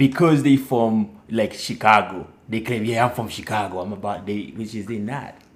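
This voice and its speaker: This man has a fairly low pitch and a Haitian accent. His pace is moderate. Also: ordinary pitch variation, hardly any pauses. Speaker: Navy sailor, podcast guest. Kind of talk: casual chat.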